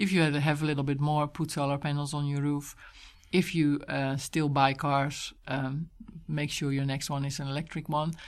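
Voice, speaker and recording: Against a quiet background, a woman speaks with a Dutch accent. Her pitch is very deep and low, and her intonation is monotone and flat. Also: moderate pace. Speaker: environmental organization director. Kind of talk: interview.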